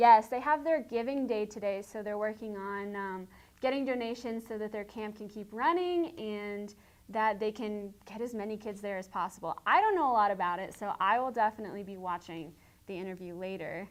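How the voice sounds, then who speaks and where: A woman with a slight Southern US accent speaks at a moderate pace in a fairly high voice, her pitch varying in an ordinary way while her loudness swings widely. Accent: slight Southern twang. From Tennessee. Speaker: student morning show host. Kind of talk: casual chat.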